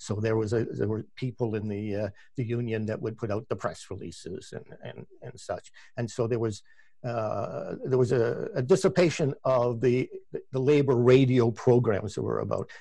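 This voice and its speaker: Speaking at a moderate pace with a Canadian accent, a man has a dark, mellow tone, medium pitch, ordinary pitch variation and vocal fry. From Canada, Ontario (Oakville, near Toronto). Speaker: labor radio producer and host. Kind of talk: interview. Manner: halting, many repetitions.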